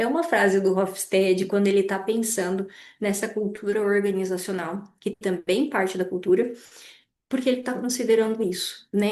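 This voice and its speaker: With audible room echo, a woman talks at a moderate pace in a dark, mellow tone, her medium-pitched voice showing ordinary pitch variation. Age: 30s. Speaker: lecturer. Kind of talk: lecture.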